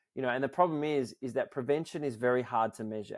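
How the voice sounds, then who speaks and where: Fairly even intonation in an Australian accent. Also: man, dry, close sound with no echo. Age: 40s. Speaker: nonprofit founder. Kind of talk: interview.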